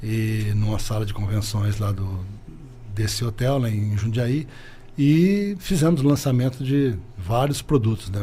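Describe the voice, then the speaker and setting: The voice is dark, mellow and somewhat breathy. It moves at a fairly slow pace with ordinary pitch variation. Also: man. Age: 60s. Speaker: business owner. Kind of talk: interview.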